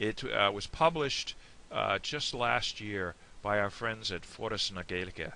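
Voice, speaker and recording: Speaking with an American accent at a fairly slow pace, a man has a fairly low pitch, lively intonation and a bright, sharp tone. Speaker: language hobbyist YouTuber. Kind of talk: tutorial. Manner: hesitant, many fillers.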